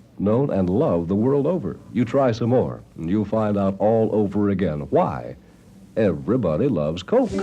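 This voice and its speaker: A man talks at a fairly low pitch with a dark, mellow tone and vocal fry. His pitch swings very widely. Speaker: radio disc jockey. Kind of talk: live radio commercial read. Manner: ad-libbed.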